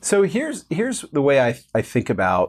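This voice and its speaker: A man talking at a fairly quick pace over a quiet background. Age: 40s. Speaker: fintech company co-founder. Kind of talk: casual interview conversation. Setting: company office. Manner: animated.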